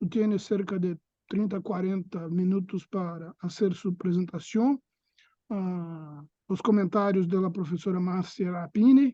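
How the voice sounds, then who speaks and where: Speaking fairly slowly at a high pitch with fairly even intonation, a man is heard in a dry, close recording with no echo and a quiet background. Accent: Portuguese. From Brazil. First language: Portuguese (speaking Spanish). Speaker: seminar coordinator, academic moderator. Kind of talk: casual chat; seminar introduction. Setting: video call with auditorium. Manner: halting.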